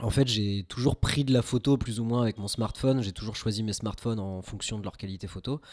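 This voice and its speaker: A normal speaking voice belongs to this man, who talks at a moderate pace and medium pitch with fairly even intonation. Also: very clean recording, silent background. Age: 20s. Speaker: amateur film photographer, web developer. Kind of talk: casual podcast conversation. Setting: home podcast setup.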